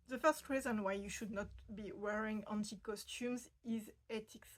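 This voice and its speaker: A woman with a French accent, her pitch fairly high and her intonation fairly even. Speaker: fashion history video host. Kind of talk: explainer video. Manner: hesitant, many fillers.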